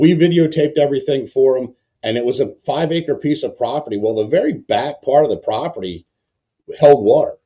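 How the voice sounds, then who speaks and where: This man has a fairly high pitch, a dark, mellow tone, a somewhat breathy quality and an American accent. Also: ordinary pitch variation, fairly quick pace. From Baltimore, Mid-Atlantic US. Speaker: mortgage lender, podcast host. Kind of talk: casual podcast chat.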